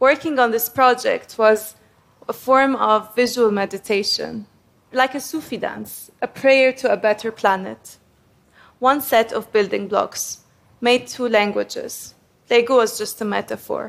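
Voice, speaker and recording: A woman's high voice in an Arabic accent, with fairly even intonation. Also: fairly slow pace. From Egypt (Cairo). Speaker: graphic designer. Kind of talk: prepared talk to an audience.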